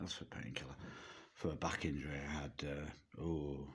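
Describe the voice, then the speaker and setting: A man is speaking. His voice has vocal fry. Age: 60s. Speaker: vlogger. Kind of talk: personal testimony to camera. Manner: halting, with fillers and repetitions.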